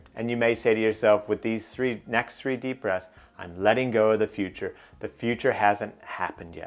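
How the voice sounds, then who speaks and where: A man speaks in an ordinary speaking voice. His pitch is fairly low and his pace is moderate. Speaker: business coach and podcast host. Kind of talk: guided meditation. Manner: instructional, paced with pauses.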